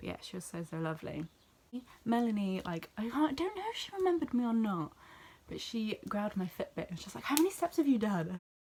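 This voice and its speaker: A woman's fairly high voice with a British accent, a very fast pace, very wide pitch swings and big swings in loudness. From southwest England, near Bristol. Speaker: vlogger. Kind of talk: casual vlog recap.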